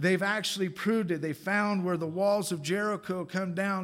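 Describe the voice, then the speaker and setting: A man's high-pitched voice with fairly even intonation, in audible room echo. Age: 50s. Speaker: guest preacher. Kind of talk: sermon.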